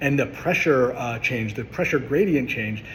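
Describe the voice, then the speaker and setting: A man speaks in a passionate tone at a medium pitch. Noticeable background noise runs behind him. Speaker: chiropractor. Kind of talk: educational monologue. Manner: fast; passionate, with filler words.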